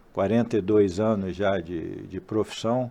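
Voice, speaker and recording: Speaking at a fairly slow pace, a man with a fairly low pitch and a dark, mellow tone shows ordinary pitch variation. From Brazil, Rio de Janeiro. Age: 60s. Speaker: port industry executive. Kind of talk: casual interview.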